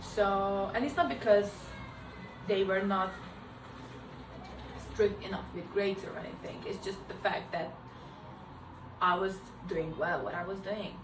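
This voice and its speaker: A woman with a non-native accent speaks at a fairly slow pace and a medium pitch, her intonation fairly even, her loudness swinging widely, with long, frequent pauses amid audible room echo and noticeable background noise. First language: not English. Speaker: art graduate vlogger. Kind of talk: casual chat.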